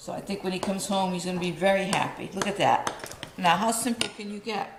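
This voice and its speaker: The speaker talks at a fairly quick pace with a Rhode Island accent against noticeable background noise. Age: old. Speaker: home cooking video host. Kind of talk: cooking tutorial. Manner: casual, chatty.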